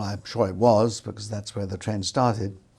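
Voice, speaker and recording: This man's voice sits fairly low, somewhat breathy with a dark, mellow tone, moving at a moderate pace with fairly even intonation on a very clean recording against a silent background. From London, England. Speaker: retired film industry worker. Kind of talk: oral history interview. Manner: halting, many fillers.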